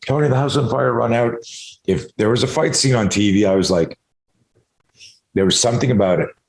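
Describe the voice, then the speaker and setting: Talking fairly quickly yet with long, frequent pauses, a man uses vocal fry at medium pitch while his loudness stays very even. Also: ordinary pitch variation. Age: 60s. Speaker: self-defense expert. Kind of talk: casual chat. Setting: video call. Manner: animated.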